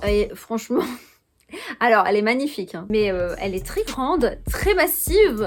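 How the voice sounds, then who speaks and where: A woman speaks at a moderate pace with lively intonation, music playing in the background. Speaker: YouTuber, lifestyle vlogger. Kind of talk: casual monthly favourites chat. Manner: hesitant, many fillers.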